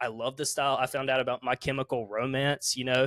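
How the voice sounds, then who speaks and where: A man with a Southern US accent speaks at a medium pitch with a bright, sharp tone. The recording is very clean and dry, with a close sound, no echo and a silent background. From US South, South Carolina. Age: 20s. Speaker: musician. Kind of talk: casual interview.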